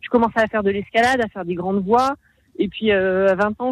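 The speaker uses ordinary pitch variation at a fairly quick pace. The sound is dry and close, with no echo. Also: woman. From Haute-Savoie, France. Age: 30s. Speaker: mountain guide and police rescuer. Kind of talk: radio interview. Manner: hesitant.

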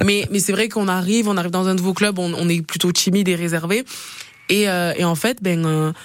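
A woman with a medium pitch speaks at very even loudness and fairly even intonation against noticeable background noise. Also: moderate pace. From Perpignan, southern France. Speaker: rugby player. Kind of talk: interview. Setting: radio studio.

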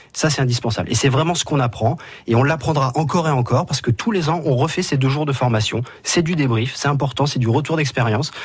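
Somewhat breathy and fairly high-pitched, a man speaks at a very fast pace with ordinary pitch variation and very even loudness. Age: 30s. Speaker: motorsport track marshal. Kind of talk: radio interview. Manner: hesitant, with fillers and repetitions.

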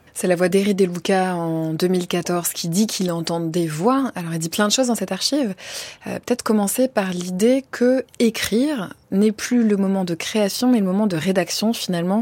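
An ordinary speaking voice moves at a moderate pace. Its pitch varies in an ordinary way. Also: woman. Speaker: radio host. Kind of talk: radio interview. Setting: studio. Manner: formal.

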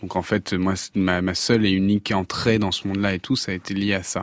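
On a very clean recording with a silent background and a dry, close sound with no echo, a man with a very deep, low pitch talks at a fairly quick pace in a monotone, flat way. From Avignon, southern France. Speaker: pop singer. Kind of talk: radio interview. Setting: radio studio.

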